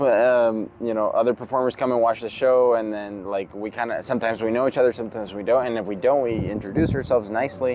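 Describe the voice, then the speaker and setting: A man at medium pitch, very fast pace and fairly even intonation, over noticeable background noise. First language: Spanish. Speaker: circus performer. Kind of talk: interview. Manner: hesitant, repeats words.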